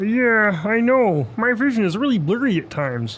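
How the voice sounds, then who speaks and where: A man's put-on character voice, high-pitched, at a moderate pace and very even loudness. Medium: comedy sketch. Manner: hesitant.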